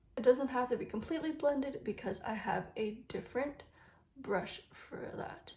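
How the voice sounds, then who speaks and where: A woman with a high pitch and a dark, mellow tone talks at a moderate pace, using ordinary pitch variation and big swings in loudness. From Vancouver, Canada. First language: Cantonese. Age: 20s. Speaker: beauty YouTuber. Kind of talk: makeup tutorial with Q&A. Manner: casual, chatty.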